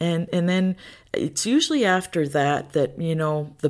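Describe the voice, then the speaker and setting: Her intonation holds fairly even. The woman talks at a fairly slow pace. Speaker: podcast host. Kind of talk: casual faith talk. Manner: relaxed.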